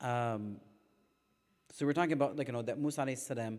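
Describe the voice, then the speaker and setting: A man's medium-pitched voice moves through ordinary pitch variation. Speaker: religious teacher. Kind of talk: religious lecture. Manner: fast; sometimes mumbling.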